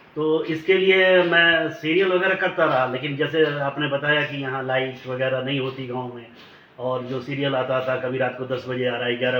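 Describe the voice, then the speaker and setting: Over noticeable background noise, a man talks at a moderate pace in a medium pitch with ordinary pitch variation, big swings in loudness, and hardly any pauses. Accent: Bihari. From Tamkuhi Road, eastern Uttar Pradesh. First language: Bhojpuri (speaking Hindi). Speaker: film and TV actor. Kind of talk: interview.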